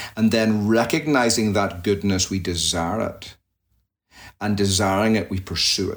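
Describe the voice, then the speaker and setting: Speaking at a moderate pace, a man with a Northern Irish accent uses a fairly low pitch and ordinary pitch variation. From Northern Ireland, near Belfast. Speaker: pastor. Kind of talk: interview conversation.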